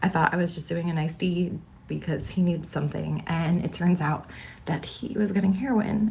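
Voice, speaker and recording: Using a raspy, put-on character voice, a woman talks at a moderate pace. Her pitch is fairly low, with ordinary pitch variation. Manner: confessional storytelling.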